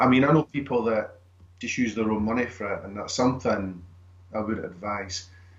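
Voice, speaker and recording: Somewhat breathy, this voice has a Scottish accent and moves at a moderate pace. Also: man, medium pitch for a man, ordinary pitch variation. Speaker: screenwriter and actor. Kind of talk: interview answer.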